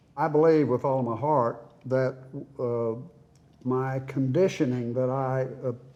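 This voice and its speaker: In an Oklahoma accent, a man talks at a fairly slow pace. His medium-pitched voice has a dark, mellow tone and fairly even intonation. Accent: Oklahoma, Southern US. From Oklahoma City. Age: 80s+. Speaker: retired accountant. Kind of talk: interview answer.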